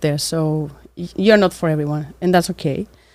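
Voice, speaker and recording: A woman with a Cypriot accent is heard in a very clean recording over a silent background. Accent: Greek Cypriot accent in English. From Cyprus. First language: Greek. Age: 20s. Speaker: architect and small business owner. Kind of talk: interview monologue. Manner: hesitant, with fillers.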